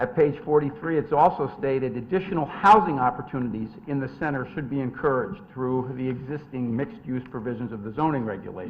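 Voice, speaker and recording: Amid noticeable background noise, a man rattles along at a very fast pace with hardly any pauses, lively intonation and big swings in loudness. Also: medium pitch for a man. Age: 60s. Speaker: attorney presenting a development application. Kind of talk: formal presentation at a zoning hearing. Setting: town commission meeting.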